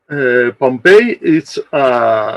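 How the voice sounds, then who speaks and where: A man with a non-native accent. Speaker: archaeologist. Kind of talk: conference presentation. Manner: halting.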